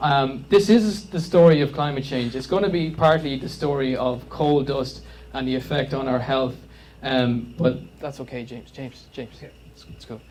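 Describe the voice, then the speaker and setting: A man with an Irish accent, fairly high in pitch, at a moderate pace. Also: ordinary pitch variation, big swings in loudness. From Ireland. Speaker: climate campaigner. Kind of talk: public presentation. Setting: community meeting with audience. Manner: hesitant, filler-heavy.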